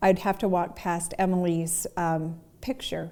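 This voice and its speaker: Fairly even intonation runs through an ordinary speaking voice. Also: woman. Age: 50s. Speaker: recovering alcoholic. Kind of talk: interview answer.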